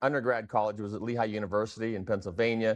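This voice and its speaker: A fairly low-pitched man at a very fast pace against a quiet background. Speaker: product designer and company founder. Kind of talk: podcast interview. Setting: video call from company showroom.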